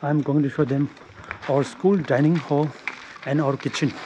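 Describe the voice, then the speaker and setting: Noticeable background noise sits behind a man's voice. He speaks at a fairly slow pace with fairly high pitch. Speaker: college student. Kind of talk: casual vlog talk to camera.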